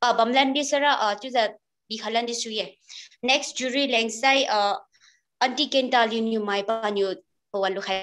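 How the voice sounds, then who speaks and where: With faint music playing behind her, a woman speaks in a fairly high voice at a moderate pace, using ordinary pitch variation and long, frequent pauses. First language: Liangmai. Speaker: event organizer; event host. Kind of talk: formal speech. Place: home room. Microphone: video call.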